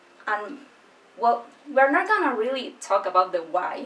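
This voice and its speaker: This woman has a non-native accent. She talks at a fairly high pitch. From Chile. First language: Spanish. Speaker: book youtuber. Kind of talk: casual vlog talk. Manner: slow, careful.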